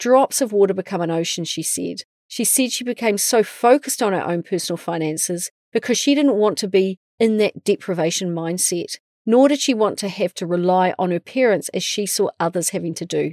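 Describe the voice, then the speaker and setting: Recorded with a dry, close sound and no echo, a woman with a New Zealand accent talks at a fairly quick pace in a medium pitch with ordinary variation. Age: 40s. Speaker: podcast host. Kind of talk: scripted narration; casual chat.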